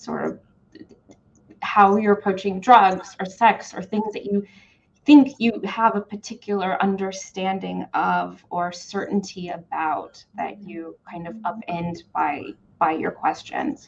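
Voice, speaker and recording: A woman at a fairly slow pace, with ordinary pitch variation and big swings in loudness. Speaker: museum curator; host. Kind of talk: moderated conversation. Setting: video call. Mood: thoughtful, measured. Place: home room. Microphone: video call.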